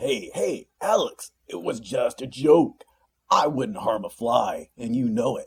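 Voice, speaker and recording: A put-on character voice from a man, raspy and gruff, at a fairly slow pace. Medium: read story. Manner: rough, teasing.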